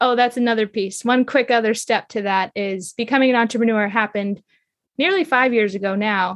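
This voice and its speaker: This is a normal speaking voice with fairly even intonation. The background is quiet. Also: woman. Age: 30s. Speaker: intimacy and relationship mentor. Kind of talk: interview.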